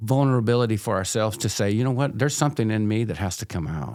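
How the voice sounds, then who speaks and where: A man's ordinary speaking voice at a medium pitch, fairly quick in pace, with ordinary pitch variation. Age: 60s. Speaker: addiction counselor. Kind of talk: casual interview chat. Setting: podcast recording.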